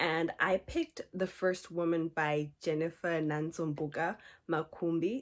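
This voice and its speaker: A soft-spoken woman with a fairly low voice. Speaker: book club curator. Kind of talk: ASMR book talk to camera. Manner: calm, relaxing.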